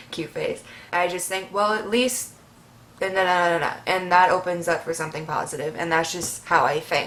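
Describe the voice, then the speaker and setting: With audible room echo, a woman speaks at a moderate pace in a fairly low pitch with ordinary pitch variation. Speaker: vlogger. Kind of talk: Q&A vlog. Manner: animated.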